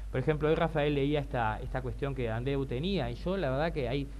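A man speaks over light background noise. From Uruguay. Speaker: LGBT rights activist; panelist. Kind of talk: panel talk. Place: hall. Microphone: podium.

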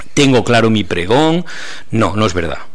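A fairly low male voice, its pitch varying by an ordinary amount. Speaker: journalist, appointed festival proclaimer. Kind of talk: press conference speech. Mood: warm, humble, enthusiastic. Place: meeting room. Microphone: podium.

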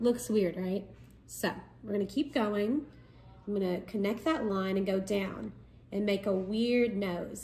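A woman's dark, mellow, somewhat breathy voice at a moderate pace with ordinary pitch variation. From Kentucky. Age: 20s. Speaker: art tutorial presenter, college student; art teacher. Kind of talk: tutorial. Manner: casual. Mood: relaxed, friendly. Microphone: phone near.

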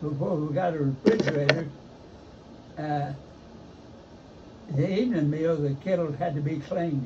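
A man with an Appalachian accent speaks in a fairly high pitch, leaving long, frequent pauses. Audible room echo and noticeable background noise come through. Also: ordinary pitch variation, moderate pace. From eastern Kentucky, Letcher County. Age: 80s+. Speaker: retiree recalling rural childhood. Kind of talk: casual chat.

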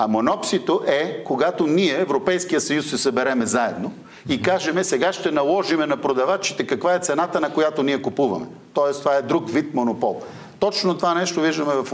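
Lively intonation carries speech that moves fairly briskly. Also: man, very even loudness. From Bulgaria. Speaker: political commentator. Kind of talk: TV interview. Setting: studio. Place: studio.

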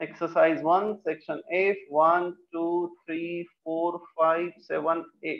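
The speech comes at a very slow pace in a flat monotone against a quiet background. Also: man, high pitch for a man, hardly any pauses. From India. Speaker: chemistry teacher. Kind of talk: online class lecture. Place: classroom.

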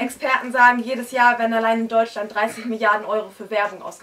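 Fairly high in pitch, a woman speaks at a fairly quick pace with fairly even intonation. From northern Germany, Hamburg area; northern Germany. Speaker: slam poet. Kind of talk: poetry slam performance. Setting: stage with audience in a bookshop. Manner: rhythmic. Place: shop.

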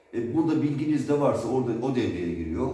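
Moderate pace with audible room echo. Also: man. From Turkey. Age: 40s. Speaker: drone developer. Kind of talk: product demo. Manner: casual. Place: workshop. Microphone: camera far.

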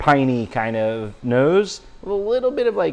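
A man speaks with faint music playing in the background. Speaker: beer reviewer. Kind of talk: casual review chat. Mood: relaxed, upbeat. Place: bar.

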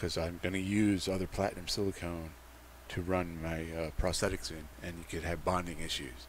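A man speaks with a very deep, low pitch, vocal fry and ordinary pitch variation. The sound is dry with no echo, with light background noise. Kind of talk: tutorial. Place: workshop.

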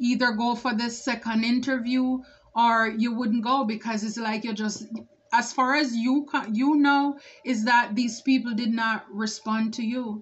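A woman at a fairly slow pace, with monotone, flat intonation. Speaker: tarot reader. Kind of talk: tarot reading commentary. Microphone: phone near.

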